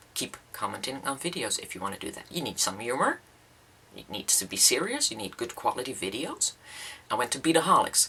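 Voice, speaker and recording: Amid noticeable background noise, a woman with a Dutch accent speaks with big swings in loudness. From Netherlands. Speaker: beading YouTuber. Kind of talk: casual vlog talk. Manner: hesitant, many fillers.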